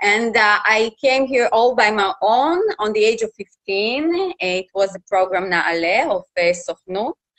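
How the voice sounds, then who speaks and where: This woman has a Russian accent and a fairly high pitch, with lively intonation, a fairly slow pace and hardly any pauses. The sound is dry and close, with no echo. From Russia, Khabarovsk. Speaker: journalist and TV reporter. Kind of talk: interview. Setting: live Facebook interview. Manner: halting.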